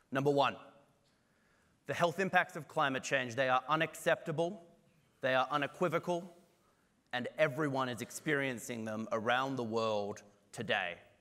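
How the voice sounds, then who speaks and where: Speaking at a moderate pace with long, frequent pauses, a man with an Australian accent has a fairly high pitch and a bright, sharp tone. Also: ordinary pitch variation. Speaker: climate and health researcher. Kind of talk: conference talk.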